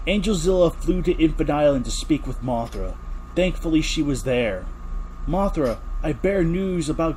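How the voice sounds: The words come in a natural reading voice.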